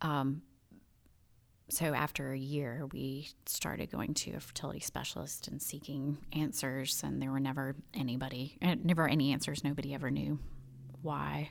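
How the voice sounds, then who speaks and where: Speaking in a Southern US accent, a woman keeps a moderate pace. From US South, Birmingham, Alabama. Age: 30s. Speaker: stay-at-home mom. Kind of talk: testimony.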